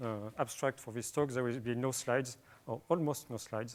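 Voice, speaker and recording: A man speaks with a French accent at a medium pitch. His pace is fairly quick. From France. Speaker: software developer. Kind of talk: conference talk. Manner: hesitant, many fillers.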